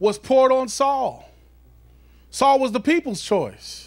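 A man at a fairly slow pace over a quiet background. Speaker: preacher. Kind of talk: sermon. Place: church. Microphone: handheld.

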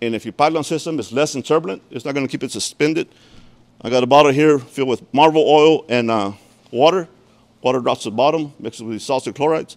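A man talks at a fast pace with ordinary pitch variation. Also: medium pitch for a man.

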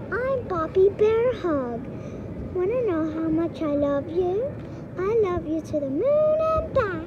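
A woman performs a cartoonish character voice at an extremely high pitch. She speaks at a fairly slow pace over loud background noise. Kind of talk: cartoon voice. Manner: sweet.

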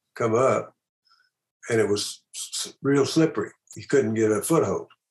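Over a quiet background, a man speaks at a moderate pace with ordinary pitch variation. His voice is somewhat breathy. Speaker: remote interview guest. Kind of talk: interview answer. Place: home room. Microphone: video call.

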